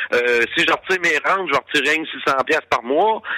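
The sound of this male speaker is dry and close, with no echo. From Quebec, Gaspésie. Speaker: former truck driver and radio host. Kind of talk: interview.

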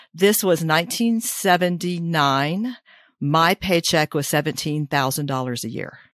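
The speaker has a plain, everyday voice and lively intonation at a fairly slow pace. The recording is very clean, with a silent background. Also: woman, fairly low pitch for a woman. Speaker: retiree and podcast host. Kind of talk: podcast interview.

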